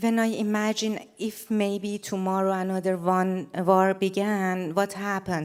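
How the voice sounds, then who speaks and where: The voice has a Persian accent. It moves at a fairly slow pace. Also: woman. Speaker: photographer. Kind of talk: stage presentation. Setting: stage with large audience. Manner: halting, many fillers.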